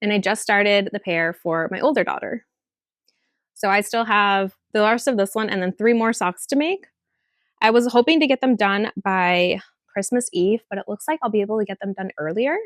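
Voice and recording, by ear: A woman speaks at a moderate pace and a medium pitch, with ordinary pitch variation and a dry, close sound that has no echo.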